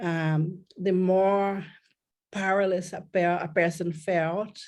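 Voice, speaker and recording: A woman with a Brazilian accent speaks at medium pitch in a monotone, flat intonation. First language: Portuguese. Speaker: pain therapist. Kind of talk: interview.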